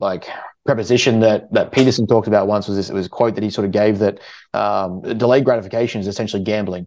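With an Australian accent, a man of fairly low pitch talks at a very fast pace with fairly even intonation over a quiet background. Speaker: podcast host and prep coach. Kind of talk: casual chat.

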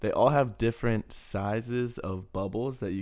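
With fairly even intonation and a fairly slow pace, this is an ordinary speaking voice. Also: man. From Texas. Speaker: podcast co-host. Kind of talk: casual chat.

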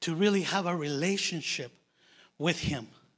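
Here a man speaks at a fairly high pitch. His tone is bright and sharp. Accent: non-native. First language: not English. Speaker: lay preacher. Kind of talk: sermon. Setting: church.

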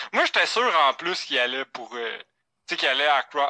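Bright and sharp, a man's fairly high-pitched voice moves at a fairly quick pace with ordinary pitch variation, dry and close with no echo, on a very clean recording with a silent background. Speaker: sports podcast co-host. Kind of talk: casual chat.

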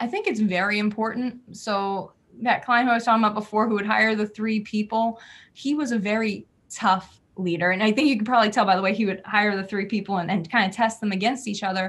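A woman with an American accent talks very fast at a fairly high pitch and with fairly even intonation, on a very clean recording with a silent background. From New Jersey. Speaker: PR and marketing business owner. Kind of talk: interview.

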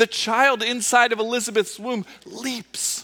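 A man talks in an extremely high voice, raised and projected. His pace is fairly slow. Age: 40s. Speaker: pastor. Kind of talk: sermon. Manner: conversational with many fillers.

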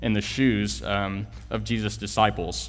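A man with an American accent speaks at a fairly low pitch. His pitch varies in an ordinary way, and room echo is audible. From Texas, Houston area. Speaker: church planter, guest preacher. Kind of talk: sermon. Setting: church.

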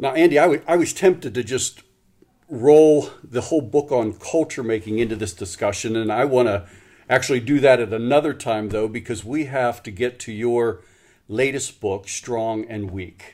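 On a very clean recording with a silent background, a man speaks in a normal speaking voice at medium pitch and a moderate pace. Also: ordinary pitch variation. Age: 50s. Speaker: podcast host, pastor ministry. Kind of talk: interview conversation.

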